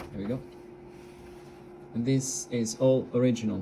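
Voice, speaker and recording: A man with an Italian accent talks at a moderate pace and a medium pitch, his intonation fairly even. Noticeable background noise can be heard. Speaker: radio hobbyist. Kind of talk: tutorial. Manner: halting, many fillers.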